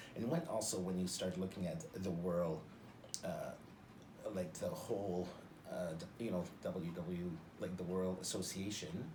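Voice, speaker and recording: Against noticeable background noise, a man with a Canadian accent and very deep, low pitch speaks at a fairly slow pace with long, frequent pauses, very even loudness and ordinary pitch variation. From Northern Ontario, Canada. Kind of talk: interview answer. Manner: expressive, jovial.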